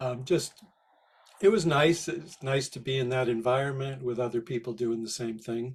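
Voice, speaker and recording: A man with a medium pitch and ordinary pitch variation speaks at a moderate pace, sounding somewhat breathy. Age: 60s. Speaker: spiritual healer and therapist. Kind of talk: interview.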